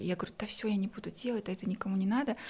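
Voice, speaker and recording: This woman speaks very fast. Her pitch moves up and down an ordinary amount. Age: 20s. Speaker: entrepreneur. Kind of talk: casual chat.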